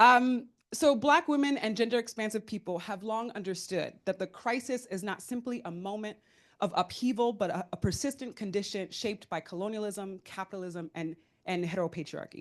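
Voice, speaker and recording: A woman talks at a fairly quick pace with a medium pitch and ordinary pitch variation. The background is quiet. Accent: New York. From US Northeast (New York). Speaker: panelist, philanthropic fund leader. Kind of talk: panel talk. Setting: conference room with audience. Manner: loud.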